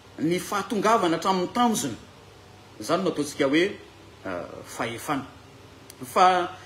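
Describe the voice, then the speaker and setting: Audible room echo carries a man with a Malagasy accent as he talks at a fairly quick pace with very wide pitch swings. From Madagascar. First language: Malagasy (speaking French). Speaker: bible teacher. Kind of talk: lecture. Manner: halting.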